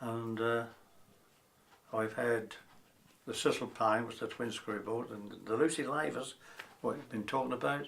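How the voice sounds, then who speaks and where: A man with a Norfolk accent speaks at a moderate pace, with long, frequent pauses. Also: medium pitch for a man, ordinary pitch variation. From Norfolk, England (Wells). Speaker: retired lifeboat coxswain. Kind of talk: oral history interview.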